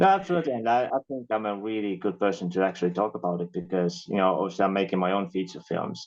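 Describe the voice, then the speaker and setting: Speaking very fast with hardly any pauses, a man with a fairly low pitch and an Estonian accent uses ordinary pitch variation. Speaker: filmmaker and actor. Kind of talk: casual chat.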